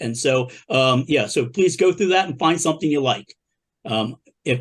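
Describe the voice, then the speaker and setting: Speaking at a fairly quick pace, a man with an American accent uses ordinary pitch variation and an unremarkable speaking voice. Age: 60s. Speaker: punk musician and show host. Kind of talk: casual panel chat.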